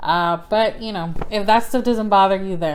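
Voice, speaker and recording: At a fairly slow pace, a woman speaks at a medium pitch. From South Texas. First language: Spanish. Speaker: book vlogger. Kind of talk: casual book review vlog. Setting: indoors by the fire. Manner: casual, filler-heavy.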